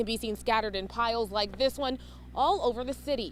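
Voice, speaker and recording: Fairly quick speech from a woman with a fairly high voice, ordinary pitch variation, and noticeable noise in the background. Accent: American. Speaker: TV news reporter. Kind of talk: TV news report.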